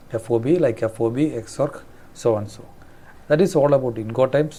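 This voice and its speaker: Speaking with a Keralan accent, a man has a medium-pitched voice with a dark, mellow tone, ordinary pitch variation and a moderate pace. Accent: Indian English, Malayali. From Kerala, India. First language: Malayalam. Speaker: trade and shipping instructor. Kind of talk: tutorial. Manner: halting, self-correcting.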